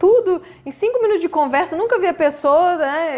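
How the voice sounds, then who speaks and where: A woman's pitch swings very widely as she talks at a fairly quick pace over noticeable background noise. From Minas Gerais, Brazil (Belo Horizonte). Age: 30s. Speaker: health professional with own practice. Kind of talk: interview.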